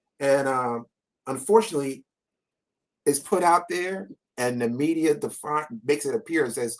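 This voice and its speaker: This man's pitch is fairly high. He talks with an American accent. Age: 60s. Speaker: panel guest commentator. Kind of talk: panel discussion.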